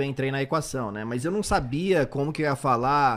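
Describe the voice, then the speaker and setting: Speech comes at a fairly quick pace in a very clean recording with a silent background. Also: man. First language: English (speaking Portuguese). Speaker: sports commentator. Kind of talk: casual chat.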